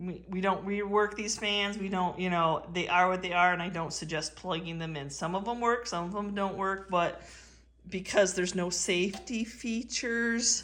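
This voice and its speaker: There is audible room echo around a woman's medium-pitched voice. Her tone is animated and her pace moderate. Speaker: antique reseller. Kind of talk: casual vlog haul.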